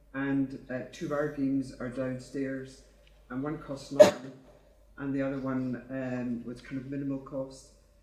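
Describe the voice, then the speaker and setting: A man's flat, monotone delivery at medium pitch and a fairly slow pace, with big swings in loudness, audible room echo and noticeable background noise. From Scotland. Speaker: audience member. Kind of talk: conference Q&A.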